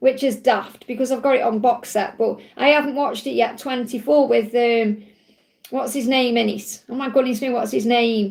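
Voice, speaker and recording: A woman's high-pitched voice in an English accent, with ordinary pitch variation. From England. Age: 40s. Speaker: tarot reader. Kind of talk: live stream Q&A chat. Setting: live stream. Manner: fast; animated.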